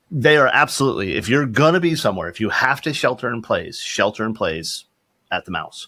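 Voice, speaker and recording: Using vocal fry, a man talks at a fairly quick pace and medium pitch with very wide pitch swings. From Florida, US South. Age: 50s. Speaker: security company CEO. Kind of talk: casual podcast interview.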